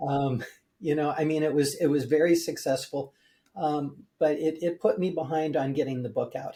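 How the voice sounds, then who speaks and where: A man talks at a moderate pace with a dark, mellow tone and a fairly high pitch. His voice is somewhat breathy and his intonation fairly even. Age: 70s. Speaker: building biologist and mold remediation expert. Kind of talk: interview. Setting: podcast interview. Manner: halting, many fillers.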